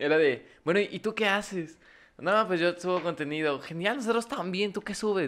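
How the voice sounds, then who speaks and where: Talking with a Mexican accent, a man uses a high pitch, ordinary pitch variation and a moderate pace. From Mexico. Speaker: podcast co-host. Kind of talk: casual chat. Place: studio. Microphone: studio mic.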